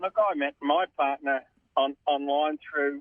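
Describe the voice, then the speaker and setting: A man's fairly high voice in an Australian accent, moderate in pace, with monotone, flat intonation. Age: 60s. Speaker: caller. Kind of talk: casual chat.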